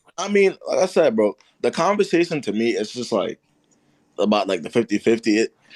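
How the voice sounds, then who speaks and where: A man with a fairly high pitch makes very wide pitch swings and uses vocal fry. The sound is dry and close with no echo. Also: fairly quick pace. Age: 20s. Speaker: live streamer giving dating advice. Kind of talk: casual live stream chat with callers.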